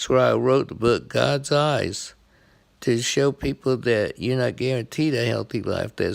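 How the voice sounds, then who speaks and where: A man with a plain, everyday voice, medium pitch and ordinary pitch variation, at a fairly slow pace on a very clean recording with a silent background. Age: 60s. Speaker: blind veteran sports vlogger. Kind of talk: casual monologue.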